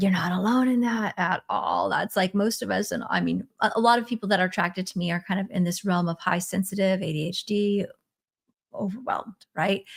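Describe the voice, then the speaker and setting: A woman talks at a fairly quick pace with a medium pitch. Her fairly even intonation carries vocal fry. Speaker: spiritual coach. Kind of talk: live stream teaching. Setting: live stream. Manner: fast.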